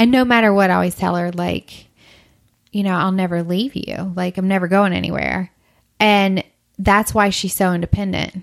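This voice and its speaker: A woman's ordinary speaking voice, medium in pitch, at a moderate pace with fairly even intonation. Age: 30s. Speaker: blogger and adoptive single mother. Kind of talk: casual chat. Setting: in person at host's home.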